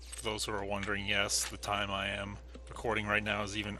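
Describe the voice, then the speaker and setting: A man talks at a fairly quick pace, and audible room echo follows his words. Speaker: gaming video creator. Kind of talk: let's play commentary.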